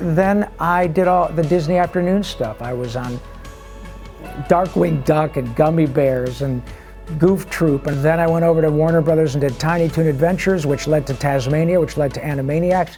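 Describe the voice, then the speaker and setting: Music plays in the background. A man with an American accent speaks at a moderate pace in a fairly high pitch. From Michigan, US. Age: 60s. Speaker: voice actor. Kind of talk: interview answer. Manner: casual, upbeat.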